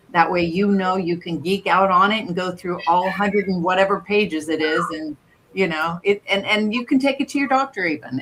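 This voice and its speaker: There is noticeable background noise as a woman speaks. Her pace is fairly quick and her intonation lively. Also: medium pitch for a woman. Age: 60s. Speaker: wellness scan provider. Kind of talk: casual chat.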